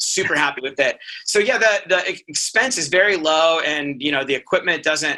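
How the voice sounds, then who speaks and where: A man with a fairly high pitch is heard against noticeable background noise. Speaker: pathologist. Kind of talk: casual chat. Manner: fast.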